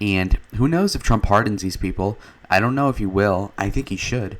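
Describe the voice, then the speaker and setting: A man speaks quietly at a fairly low pitch and a moderate pace, with ordinary pitch variation. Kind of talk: casual political commentary to camera. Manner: quiet, low energy.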